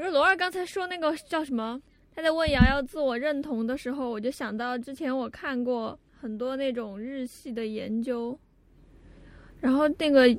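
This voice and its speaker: Here a woman speaks with a high pitch. Her pace is moderate and her pitch variation ordinary. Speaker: podcast co-host. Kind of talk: casual chat.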